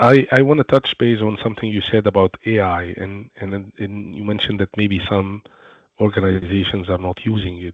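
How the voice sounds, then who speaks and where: With a non-native accent, a man speaks at a moderate pace in a fairly low pitch, keeping his intonation fairly even. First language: not English. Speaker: webinar co-host, security professional. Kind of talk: webinar panel discussion.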